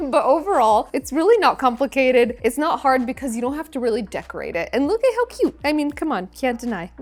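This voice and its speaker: A woman's high, animated voice at a fairly quick pace with hardly any pauses, over noticeable background noise. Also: lively intonation. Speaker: cooking show host. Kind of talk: cooking tutorial. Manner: fast.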